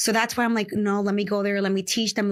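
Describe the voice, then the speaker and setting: A woman with a medium-pitched voice is heard in a very clean recording with a silent background. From Dominican Republic, raised in New York City from age 8. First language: Spanish. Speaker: real estate investor. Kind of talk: interview.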